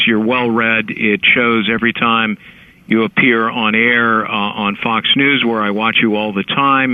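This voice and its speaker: A man talks fairly slowly, with ordinary pitch variation. His is an ordinary speaking voice, medium in pitch. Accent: American. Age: 60s. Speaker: lawyer and author. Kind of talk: interview.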